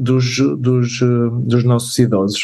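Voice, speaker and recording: In a dark, mellow tone, a man speaks very slowly with monotone, flat intonation. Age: 30s. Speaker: doctor and health tech startup cofounder. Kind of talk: interview. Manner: halting.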